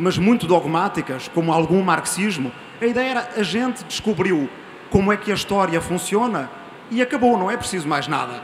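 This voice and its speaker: A man with a European Portuguese accent speaks at a moderate pace in a high voice, with ordinary pitch variation and noticeable background noise. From Portugal. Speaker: audience member. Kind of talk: audience comment at panel debate. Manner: halting, repeats words.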